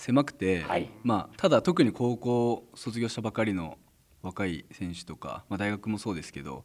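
A man's moderately paced speech has lively intonation. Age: 30s. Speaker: baseball team manager. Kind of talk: radio interview.

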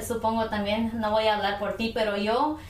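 Over noticeable background noise and audible room echo, a woman speaks at a fairly high pitch. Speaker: podcast co-host. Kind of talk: casual chat. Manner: laughing, giggly.

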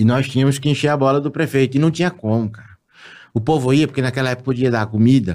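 A man's medium-pitched voice at a very fast pace, with ordinary pitch variation, on a very clean recording with a silent background. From Tocantins, Brazil. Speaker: announcer and internet voice personality. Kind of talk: casual chat. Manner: animated.

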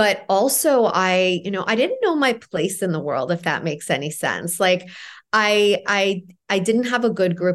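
A woman with a normal speaking voice and a Canadian accent talks at a fairly slow pace with ordinary pitch variation over a quiet background. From Toronto, Canada (born in Iran). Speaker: empowerment coach and author. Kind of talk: casual interview chat.

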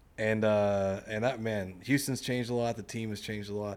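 Pitched fairly low, a man with a normal speaking voice keeps his intonation fairly even. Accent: American. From US South, Mississippi. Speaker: podcast host. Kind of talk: casual interview chat.

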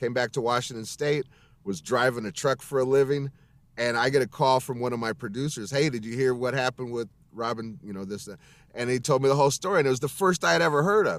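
At a very fast pace, a man talks at a medium pitch with ordinary pitch variation, recorded very cleanly against a silent background. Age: 40s. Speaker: voice actor and musician. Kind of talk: casual chat.

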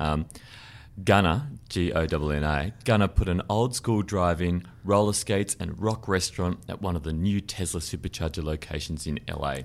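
In an Australian accent, a man with a very deep, low pitch speaks at a moderate pace with ordinary pitch variation. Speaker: car podcast host. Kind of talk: casual chat.

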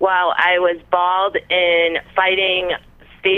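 The voice belongs to a woman. It stays at a medium pitch. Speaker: caller. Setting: phone call.

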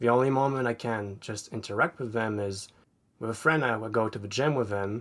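Fairly even in intonation, a man speaks at medium pitch and a fairly quick pace. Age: 20s. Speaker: aspiring comic artist. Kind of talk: personal advice session. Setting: online call. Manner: halting, repeats words.

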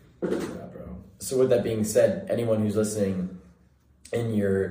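Speaking at a fairly quick pace, a man with an American accent has a dark, mellow tone and a somewhat breathy voice. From Central California. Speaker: college student podcast host. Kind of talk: casual chat.

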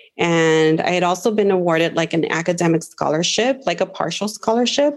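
A woman with an American accent has a normal speaking voice, fairly low in pitch with ordinary pitch variation. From Los Angeles (Watts). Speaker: teacher. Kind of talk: casual chat.

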